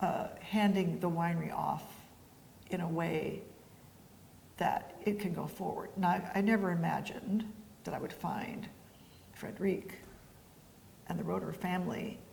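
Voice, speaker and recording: Monotone, flat delivery at a moderate pace, broken by long, frequent pauses, with audible room echo. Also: woman, medium pitch for a woman. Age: 70s. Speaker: winery founder and winemaker. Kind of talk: interview. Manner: casual, hesitant with fillers.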